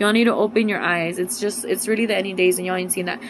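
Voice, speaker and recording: A woman at medium pitch and a very fast pace, with noticeable background noise. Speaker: religious vlogger. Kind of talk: casual vlog monologue. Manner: animated.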